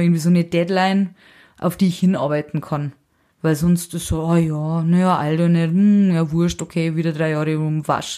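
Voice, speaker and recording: In a very clean recording with a silent background, a woman speaks fairly quickly in a fairly low pitch, her intonation monotone and flat and her tone dark and mellow. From Lower Bavaria, near Passau (Bavarian Forest). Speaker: singer-songwriter and musician. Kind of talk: casual interview chat.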